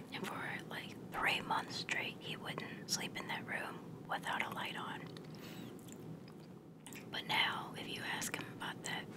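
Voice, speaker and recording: The whispering moves at a fairly slow pace. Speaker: ASMR video creator. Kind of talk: casual storytelling about ghost experiences. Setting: at home. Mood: relaxed ghost story telling. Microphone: phone near.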